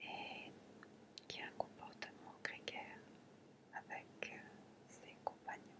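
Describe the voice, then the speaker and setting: A woman whispers very slowly with long, frequent pauses, noticeable background noise underneath. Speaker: ASMR and relaxation content creator. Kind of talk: ASMR relaxation talk. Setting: close-mic home recording. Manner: whispered, soft-spoken.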